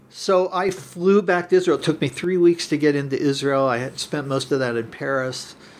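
In a plain, everyday voice with an American accent, a man talks at a moderate pace and fairly high pitch, with hardly any pauses. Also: ordinary pitch variation. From US Midwest, Cincinnati. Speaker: naturopathic doctor. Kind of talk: casual interview.

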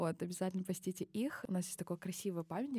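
A woman's dark, mellow tone at medium pitch and a very fast pace, with ordinary pitch variation and a dry, close sound with no echo, in a very clean recording with a silent background. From Kazakhstan, Baikonur. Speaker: linguistics graduate student. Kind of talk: casual interview. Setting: studio.

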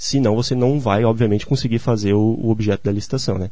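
Talking at a very fast pace, a man with a fairly low pitch and a dark, mellow tone sounds somewhat breathy, his intonation fairly even. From southern Brazil, Santa Catarina (Gaspar). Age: 20s. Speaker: civil engineer. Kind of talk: radio interview. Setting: radio studio.

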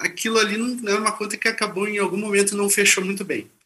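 A man with a high pitch raises and projects his voice at a very fast pace. His tone is bright and sharp, and his intonation fairly even. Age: 40s. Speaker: author and moderator. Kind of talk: panel conversation. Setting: video call from office. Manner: halting.

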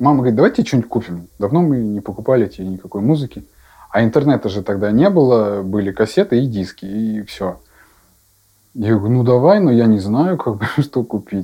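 A man talks at a moderate pace with lively intonation and medium pitch. His tone is dark and mellow against a quiet background. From Russia, Yaroslavl. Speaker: rock band drummer. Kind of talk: casual interview chat. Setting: drum shop.

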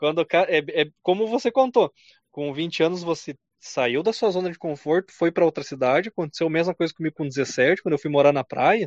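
A high-pitched man at a moderate pace with lively intonation. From southern Brazil, Rio Grande do Sul (Carazinho). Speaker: podcast host. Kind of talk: casual chat.

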